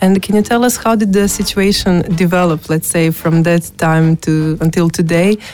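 With a Croatian accent, a woman talks at a moderate pace in a fairly low pitch, with fairly even intonation, very even loudness, hardly any pauses and noticeable background noise. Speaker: radio host. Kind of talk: interview. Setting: studio.

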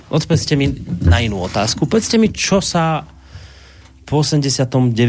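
A man speaks at a medium pitch with very wide pitch swings. His voice is somewhat breathy. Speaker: radio host. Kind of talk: radio talk show interview. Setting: radio studio.

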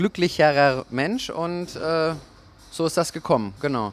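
This man has a high-pitched voice. His pitch varies in an ordinary way. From Germany, Nuremberg. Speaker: DJ and label owner. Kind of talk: interview. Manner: hesitant, many filler sounds.

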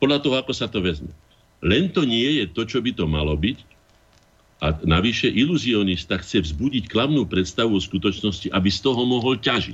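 Very wide pitch swings from a man, medium in pitch and moderate in pace. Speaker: artist and former MP. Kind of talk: radio talk show.

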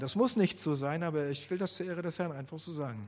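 At a fairly quick pace, a man talks in a normal speaking voice with ordinary pitch variation. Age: 50s. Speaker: lay preacher. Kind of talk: sermon. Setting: church.

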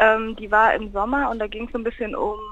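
Her pitch is fairly high and her pace moderate. The woman has an ordinary speaking voice. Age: 20s. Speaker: university student and campus radio member. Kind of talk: casual interview. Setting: phone call.

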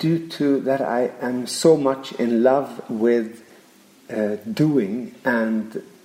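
A man's very slow voice with lively intonation, noticeable background noise behind it. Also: long, frequent pauses. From Sweden (Järna, near Stockholm). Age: 50s. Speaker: Waldorf teacher. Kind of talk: interview.

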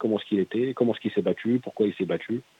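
The speaker is a man with a fairly low pitch. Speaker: metal band singer. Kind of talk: radio interview.

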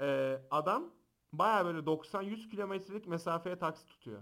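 In an animated tone, a man talks at a moderate pace with ordinary pitch variation. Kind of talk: casual chat. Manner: loud.

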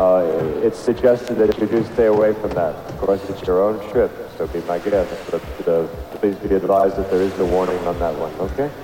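Over noticeable background noise, a man with a fairly low, warm, soothing voice talks at a moderate pace with ordinary pitch variation. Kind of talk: festival stage announcement, replayed archive clip. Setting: stage with audience, PA system. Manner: relaxed, laid-back, easygoing, casual and wry; warm, jokey, reassuring, with friendly crowd-soothing tone.

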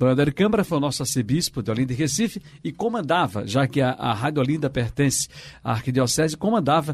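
A man's fairly high voice at a very fast pace. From Pernambuco, Brazil (São Lourenço da Mata). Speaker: radio journalist and co-host. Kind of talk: casual chat.

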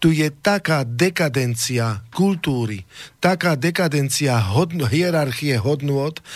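In a plain, everyday voice, a man speaks at a fairly slow pace with a fairly high pitch and lively intonation. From Slovakia. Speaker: singer and nationalist party figure. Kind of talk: studio talk show discussion.

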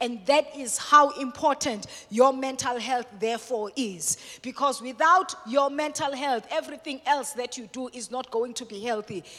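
A woman's high, bright, sharp voice, raised and projected, with ordinary pitch variation at a moderate pace. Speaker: guest speaker on mental health at a church. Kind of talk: sermon-style teaching talk. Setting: church with congregation. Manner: swift.

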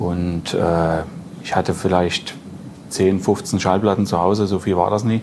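Against noticeable background noise, a man speaks very slowly in a very deep, low voice with monotone, flat intonation. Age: 40s. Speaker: record dealer and collector. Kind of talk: casual chat. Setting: club venue.

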